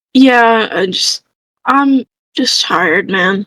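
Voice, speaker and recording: In a put-on character voice, a woman speaks at a very slow pace with a fairly high pitch, a raspy edge and a weary tone. Her intonation is lively, and the sound is dry and close with no echo. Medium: actual play. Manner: weary, low-key.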